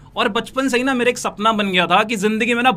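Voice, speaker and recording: A man's raised, projected voice, bright and sharp in tone, at a moderate pace. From North India, Noida. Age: 20s. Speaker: network marketing recruiter. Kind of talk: motivational sales pitch.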